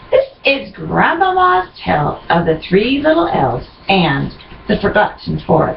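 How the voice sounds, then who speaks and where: A woman's voice at a fairly slow pace and very even loudness, with noticeable background noise. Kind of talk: scene-setting narration, read aloud.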